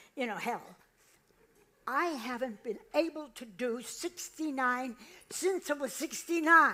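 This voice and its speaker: Projecting a raised voice, a woman with an American accent speaks at a high pitch in a bright, sharp tone with ordinary pitch variation. Her pace is very slow, with long, frequent pauses and big swings in loudness. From US Northeast, Boston area. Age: 90s. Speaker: comedian. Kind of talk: stand-up. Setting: stage with audience.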